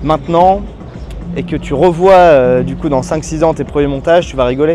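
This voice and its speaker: Music plays behind a man who talks at a fairly quick clip. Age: 20s. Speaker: youtuber, video editing coach. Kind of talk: casual vlog monologue. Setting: outdoors. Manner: animated.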